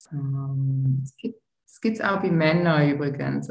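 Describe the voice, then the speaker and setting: A somewhat breathy woman speaks at a very deep, low pitch with a dark, mellow tone and audible room echo. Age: 40s. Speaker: tantra massage therapist. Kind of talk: interview.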